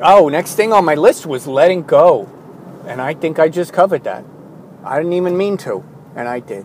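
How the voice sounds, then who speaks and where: A man with a high pitch, moderate pace, long and frequent pauses and big swings in loudness, noticeable background noise. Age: 40s. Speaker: artist keeping an audio journal. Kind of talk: personal audio journal monologue. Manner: halting, with many fillers and restarts.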